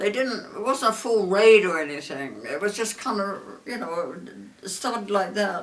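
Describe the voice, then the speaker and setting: A woman with an English accent, medium pitch and ordinary pitch variation, over noticeable background noise. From southern England. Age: 80s+. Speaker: war veteran. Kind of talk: interview answer.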